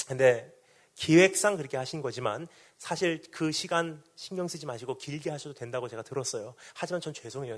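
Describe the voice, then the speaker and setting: This man's fairly high voice rushes along very fast with lively intonation. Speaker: missionary preacher. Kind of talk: sermon. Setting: revival meeting in hall with congregation.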